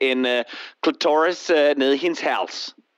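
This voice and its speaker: A fairly slow delivery in an English accent. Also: man. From Australia. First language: English (speaking Danish). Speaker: caller. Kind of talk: call-in chat.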